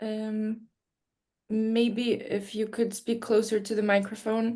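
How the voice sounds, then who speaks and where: A woman speaks with a Polish accent in a fairly high-pitched voice. The background is quiet. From Poland. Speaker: session moderator. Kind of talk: casual chat. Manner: hesitant, many fillers.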